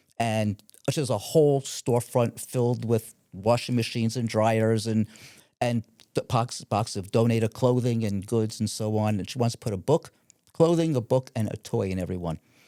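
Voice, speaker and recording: A man with a New York accent and a dark, mellow tone speaks at medium pitch and a moderate pace with ordinary pitch variation. The recording is very clean, with a silent background and a dry, close sound with no echo. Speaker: family real estate investor and woodworker. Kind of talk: podcast interview. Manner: halting, with many fillers.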